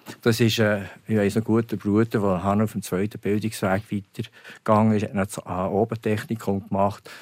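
This man has a fairly low pitch and a monotone, flat intonation. He talks at a fairly quick pace with hardly any pauses. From Switzerland, Burgdorf (canton Bern). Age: 70s. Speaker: company founder and entrepreneur. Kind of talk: interview.

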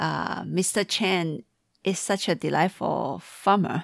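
This woman talks at a very slow pace with a fairly low pitch, vocal fry and ordinary pitch variation. The recording is very clean, with a silent background. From Taiwan. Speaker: podcast host, tea enthusiast. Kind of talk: casual chat.

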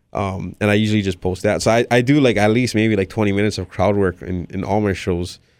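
In a very clean recording with a silent background, a man with a fairly low pitch and fairly even intonation speaks at a very fast pace with hardly any pauses. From Hawaii. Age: 20s. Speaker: stand-up comedian. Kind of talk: casual interview chat.

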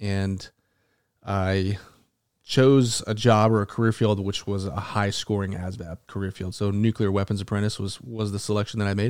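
This man's fairly low voice carries an American accent and a monotone, flat intonation at a moderate pace. The recording is very clean, with a silent background. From Arizona (Tucson). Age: 30s. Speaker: war veteran. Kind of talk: interview. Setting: at home.

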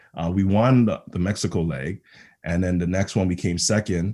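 In a Toronto accent, a man speaks at a very deep, low pitch. The recording is very clean, with a silent background. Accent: Canadian (Toronto). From Toronto, Ontario (Rexdale), born in Ghana. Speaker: football coach and public speaker. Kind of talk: podcast interview.

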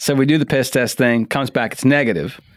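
This man has an unremarkable speaking voice at a medium pitch. He speaks at a fairly quick pace. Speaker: stand-up comedian. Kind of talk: casual podcast chat with comedy stories.

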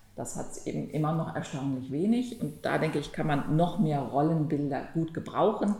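A woman with a very deep, low voice speaks with lively intonation, with audible room echo and noticeable background noise. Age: 50s. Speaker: antitrust lawyer, law firm partner. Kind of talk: podcast conversation.

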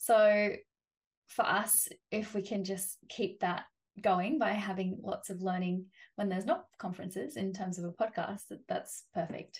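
A woman with an Australian accent, somewhat breathy, at a fairly slow pace and with ordinary pitch variation. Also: medium pitch for a woman. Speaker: animal caregiver and bird of prey trainer. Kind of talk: interview. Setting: remote call.

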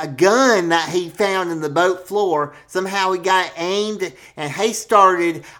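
The speaker uses an unforced reading voice. It is an unforced reading voice throughout.

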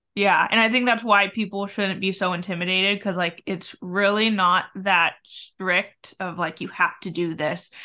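The voice has a bright, sharp tone and fairly even intonation, moving at a moderate pace with hardly any pauses. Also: woman, medium pitch for a woman. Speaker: podcast host. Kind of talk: casual interview chat.

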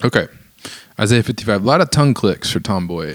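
A man's fairly low-pitched, fairly bright voice at a fast pace with lively intonation

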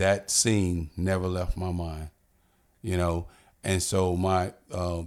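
A man's very deep, low voice with an American accent and flat, monotone intonation on a very clean recording with a silent background. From Florida, Pensacola. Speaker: retired police chief and pastor. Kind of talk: interview. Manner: halting.

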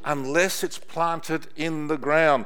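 This man speaks with an Australian accent. His pitch is fairly high. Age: 60s. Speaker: pastor. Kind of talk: sermon. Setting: church. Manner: animated.

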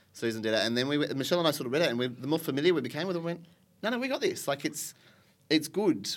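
A man speaks with an Australian accent at a very fast pace. His intonation is lively. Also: fairly high pitch for a man. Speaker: sign language interpreter. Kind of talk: casual chat. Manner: animated.

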